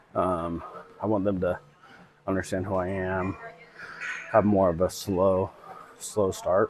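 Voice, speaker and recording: A man with a very deep, low pitch speaks in a flat monotone at a fairly slow pace, with long, frequent pauses and noticeable background noise. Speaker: strength and conditioning coach. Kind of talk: casual video update. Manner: halting.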